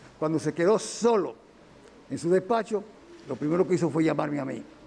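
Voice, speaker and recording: Over noticeable background noise, a man speaks at a fairly quick pace. His pitch is fairly high, with ordinary variation. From Dominican Republic, Santiago. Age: 70s. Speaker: engineer defending himself in court. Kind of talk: court testimony. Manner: halting, with self-corrections.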